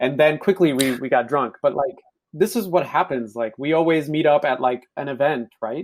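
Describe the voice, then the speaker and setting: A man's fairly high voice, an unremarkable speaking voice, with ordinary pitch variation at a moderate pace. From Ethiopia, raised in US from age 9-10. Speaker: podcast guest. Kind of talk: casual chat.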